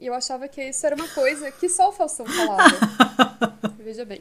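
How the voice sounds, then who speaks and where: A woman talks at a moderate pace. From southern Brazil, Porto Alegre (Rio Grande do Sul). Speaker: podcast co-host. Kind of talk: casual chat.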